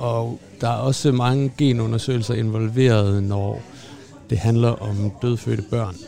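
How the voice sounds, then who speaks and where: A man talks at a very slow pace, with noticeable background noise present. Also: medium pitch for a man, fairly even intonation. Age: 30s. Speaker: doctor, former pathologist. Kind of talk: casual chat. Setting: restaurant. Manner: hesitant, many fillers.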